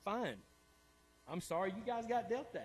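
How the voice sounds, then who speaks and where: Loudly and at a fairly quick pace, a man with an American accent speaks in an extremely high pitch with ordinary pitch variation over noticeable background noise. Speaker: public commenter, 911 dispatcher. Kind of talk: public comment at city council. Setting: city council meeting.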